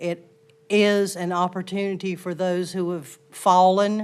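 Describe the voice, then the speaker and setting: A fairly low-pitched woman's voice in a Southern US accent, with fairly even intonation. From US South. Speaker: resident giving public comment. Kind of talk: public comment speech. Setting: town council chamber. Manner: formal.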